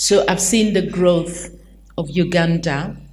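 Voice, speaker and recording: A woman's fairly low-pitched voice in audible room echo, with noticeable background noise. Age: 60s. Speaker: consultant. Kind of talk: panel discussion.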